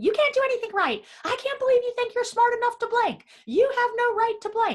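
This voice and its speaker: A woman in a put-on character voice, extremely high in pitch, with fairly even intonation and a fairly quick pace. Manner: fast, rapid, berating.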